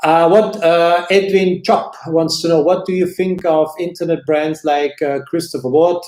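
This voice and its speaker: In a German accent, the speaker talks at a fairly slow pace with fairly even intonation and hardly any pauses. Background noise is noticeable. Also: man, high pitch for a man. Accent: German-speaking accent in English. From Switzerland. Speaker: watch channel host. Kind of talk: live stream chat answering viewer questions. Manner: hesitant, many fillers and repetitions; slower in English than his usual pace.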